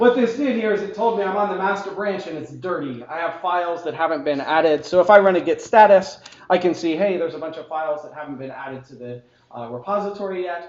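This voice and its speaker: Over noticeable background noise, a man with a high pitch talks at a very fast pace, his intonation lively and his loudness swinging widely. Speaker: tech conference speaker. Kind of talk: technical talk with live demo. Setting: meetup talk with live audience. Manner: casual, joking.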